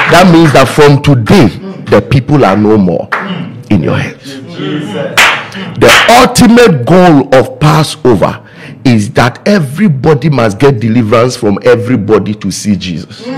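Noticeable background noise sits behind a man speaking at a fairly slow pace. His pitch swings very widely. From Ghana. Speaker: pastor. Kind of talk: sermon. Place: studio. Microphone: studio mic.

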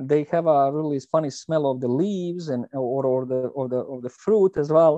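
A man's medium-pitched voice with a dark, mellow tone, a moderate pace, ordinary pitch variation and a dry, close sound with no echo

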